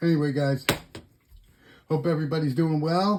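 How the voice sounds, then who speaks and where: A man speaks in a relaxed, somewhat breathy tone with a fairly high pitch. His pace is moderate and his intonation fairly even. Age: 60s. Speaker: knife collector YouTuber. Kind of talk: casual show-and-tell video. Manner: relaxed, rambling with fillers.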